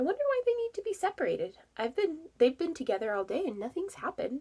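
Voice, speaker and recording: Putting on a squeaky character voice, a woman speaks very fast at an extremely high pitch with very wide pitch swings. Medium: read story. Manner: folksy, matter-of-fact.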